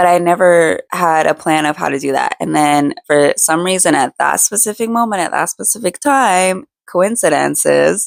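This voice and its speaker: Recorded very cleanly against a silent background with a dry, close sound and no echo, a woman with a fairly low voice speaks at a moderate pace with lively intonation and hardly any pauses. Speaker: lifestyle and faith vlogger. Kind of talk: casual personal talk to camera. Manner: casual, many fillers.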